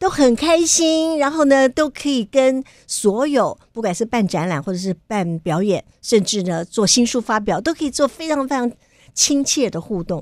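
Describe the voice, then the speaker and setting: A woman talks at a moderate pace with a high pitch and very wide pitch swings. The sound is dry with no echo over a quiet background. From Taiwan. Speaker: radio host. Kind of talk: interview. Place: studio. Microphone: studio mic.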